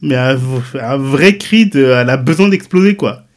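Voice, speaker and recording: A man speaks with ordinary pitch variation. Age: 40s. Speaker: web designer and content creator. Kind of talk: personal testimony. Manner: talkative.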